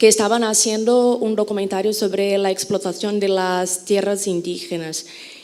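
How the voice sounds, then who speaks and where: A woman at a medium pitch, with fairly even intonation and audible room echo. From Brazil. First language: Portuguese (speaking Spanish). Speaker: journalist, audience member asking a question. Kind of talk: audience question at a conference.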